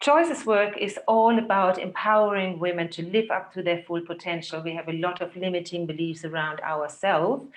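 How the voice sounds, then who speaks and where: A woman speaks with a German accent at a moderate pace. Her pitch is medium. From Germany. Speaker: physiotherapist and holistic health therapist. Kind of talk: talk to a women's group. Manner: halting.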